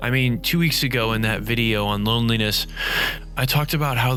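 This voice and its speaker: Over noticeable background noise, a man with a medium pitch talks at a moderate pace with ordinary pitch variation. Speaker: YouTuber and storyteller. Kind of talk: reading aloud. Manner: soft-spoken. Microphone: distant and quieter in the mix.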